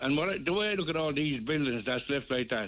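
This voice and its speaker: A man's fairly high voice with a Tipperary accent and lively intonation. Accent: Irish, Tipperary. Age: 70s. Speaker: local election candidate. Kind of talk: radio interview.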